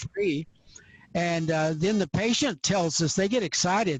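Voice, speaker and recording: In a dry, close recording with no echo and a quiet background, a man with an American accent talks at a moderate pace in a high-pitched voice. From US Southwest, New Mexico. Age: 80s+. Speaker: eye doctor. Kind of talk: interview.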